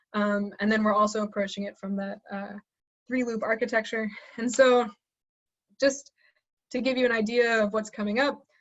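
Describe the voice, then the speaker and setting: Somewhat breathy and fairly high-pitched, a woman speaks in a flat monotone with long, frequent pauses. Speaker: assistant professor. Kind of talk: webinar lecture. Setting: online webinar. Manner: fast; hesitant with fillers.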